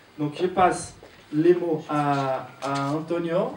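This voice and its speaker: Fairly high male voice with fairly even intonation, audible room echo and noticeable background noise. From Brazil. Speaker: church leader. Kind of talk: sermon introduction. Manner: halting, many hesitations.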